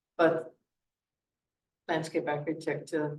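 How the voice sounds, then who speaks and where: A man speaks with a Dutch accent. His voice is somewhat breathy. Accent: Dutch accent, lasting. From Netherlands. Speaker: parks committee member, landscape architect. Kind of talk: meeting introductions.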